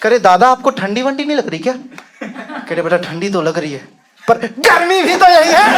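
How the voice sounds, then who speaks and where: At an extremely high pitch, a man speaks at a moderate pace with very wide pitch swings over noticeable background noise. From Bihar, India. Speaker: stand-up comedian. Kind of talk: stand-up comedy set.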